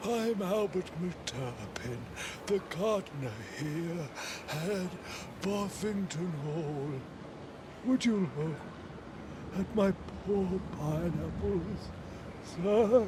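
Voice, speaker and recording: A put-on character voice moves at a very slow pace with long, frequent pauses. Loud background noise runs underneath. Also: man, high pitch for a man. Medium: audio drama. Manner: mournful, deferential.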